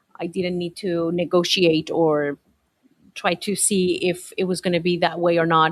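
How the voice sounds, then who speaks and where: A woman speaks with a Spanish accent. Her pace is fairly slow. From Colombia. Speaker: teacher. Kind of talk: interview. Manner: halting, frequent repetitions and fillers.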